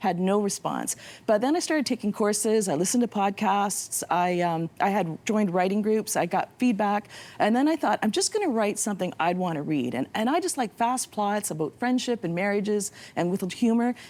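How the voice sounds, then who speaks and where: Lively intonation runs through the fairly quick speech of a woman with an unremarkable speaking voice. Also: medium pitch for a woman, very even loudness. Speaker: novelist. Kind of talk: interview.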